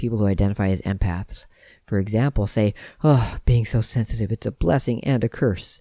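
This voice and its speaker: Soft-spoken and calm, a man talks at a fairly quick pace in a fairly low, dark, mellow voice with ordinary pitch variation, in a dry, close sound with no echo on a very clean recording with a silent background. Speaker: podcast host on veganism and self-awareness. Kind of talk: solo talk, reflective monologue. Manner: soft-spoken, calm.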